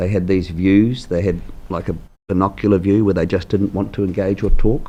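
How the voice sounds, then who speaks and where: At a moderate pace, a man speaks in a New Zealand accent with fairly even intonation. His voice is fairly low, with a dark, mellow tone. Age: 60s. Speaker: mayoral candidate. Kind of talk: interview.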